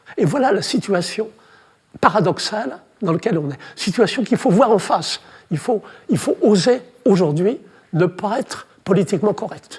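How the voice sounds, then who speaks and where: A high-pitched man with lively intonation talks at a moderate pace, leaving long, frequent pauses. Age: 80s+. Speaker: childbirth researcher. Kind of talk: talk to an audience. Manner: halting.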